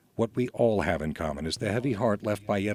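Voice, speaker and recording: A man with a plain, everyday voice, fairly low in pitch, with lively intonation at a fairly quick pace. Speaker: radio host. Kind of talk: radio introduction.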